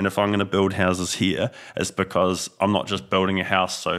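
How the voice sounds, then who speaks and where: A man with a New Zealand accent talks at a fairly quick pace in a very deep, low pitch, with monotone, flat intonation. The recording is very clean, with a silent background. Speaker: business owner. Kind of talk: casual chat.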